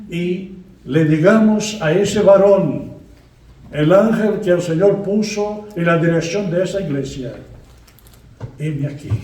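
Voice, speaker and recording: In a room with audible echo, a man with a high pitch speaks at a very slow pace, leaving long, frequent pauses. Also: ordinary pitch variation. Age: 80s+. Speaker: guest preacher. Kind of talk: sermon. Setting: church.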